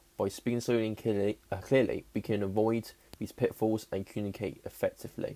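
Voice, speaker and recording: In a put-on character voice, a man mumbles at a fairly quick pace with a medium pitch and monotone, flat intonation. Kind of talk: instructive, presenting. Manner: mumbling, stumbling over words.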